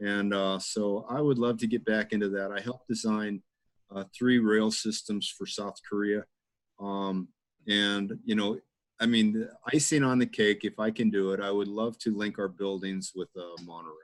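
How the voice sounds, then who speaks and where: This is an unremarkable speaking voice from a man, pitched fairly low. He holds a moderate pace with fairly even intonation. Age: 60s. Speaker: engineer and developer. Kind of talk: casual interview.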